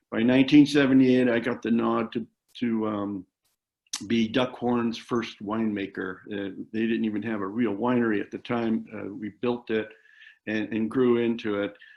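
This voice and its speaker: The speaker is a man with a medium pitch. His intonation is monotone and flat. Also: moderate pace. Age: 70s. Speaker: winemaker. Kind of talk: interview. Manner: hesitant, with many fillers.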